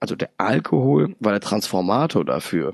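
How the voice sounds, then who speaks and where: A man with a fairly low pitch and an ordinary speaking voice talks at a moderate pace in a dry, close sound with no echo. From Hesse, Germany (Darmstadt). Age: 30s. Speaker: chemical plant supervisor, recovering alcoholic. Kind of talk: personal testimony interview.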